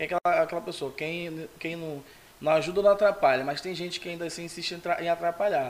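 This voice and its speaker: Over noticeable background noise, a man speaks very fast in a high pitch with fairly even intonation. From São Gonçalo, Brazil. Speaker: photographer. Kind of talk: casual interview. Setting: studio.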